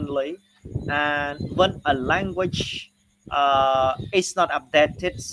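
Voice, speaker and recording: A man speaks at a very slow pace with a Cambodian accent. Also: fairly high pitch for a man, ordinary pitch variation. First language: Khmer. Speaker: university lecturer. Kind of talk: lecture. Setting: online class recording. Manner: halting, many fillers and repetitions.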